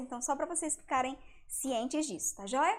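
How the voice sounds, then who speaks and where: A woman speaks with ordinary pitch variation. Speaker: educator presenting homeschool materials. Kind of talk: live stream lecture. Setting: live stream. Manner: warm, conversational.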